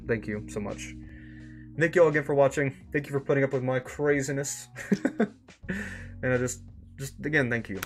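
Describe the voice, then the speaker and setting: Noticeable background noise sits under this recording. A man talks very fast with ordinary pitch variation. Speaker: streamer reading an online story series. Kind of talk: live stream sign-off chat. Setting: live stream. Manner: casual, halting with repetitions.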